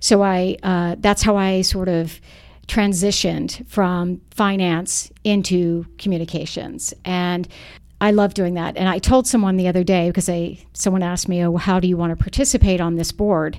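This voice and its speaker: In a very clean recording with a silent background, a woman with an American accent speaks in a normal speaking voice. Her medium pitch holds fairly even intonation at a moderate pace. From US South, Charlotte, North Carolina. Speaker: parent group founder and activist. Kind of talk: podcast interview.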